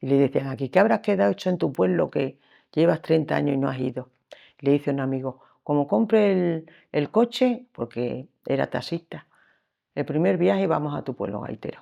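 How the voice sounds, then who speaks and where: A woman's very deep, low voice with a dark, mellow tone, vocal fry, very wide pitch swings and moderate pace. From Extremadura, Spain (Sierra de Gata, Cáceres). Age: 70s. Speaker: lace-making artisan. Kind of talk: life story interview. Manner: halting.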